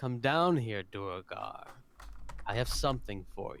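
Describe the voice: Using a booming put-on character voice at medium pitch, a man speaks at a fairly slow pace.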